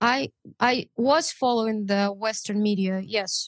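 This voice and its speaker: In a Russian accent, a woman speaks with a fairly high pitch and fairly even intonation, in a dry, close sound with no echo. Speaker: translator and volunteer. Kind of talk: interview.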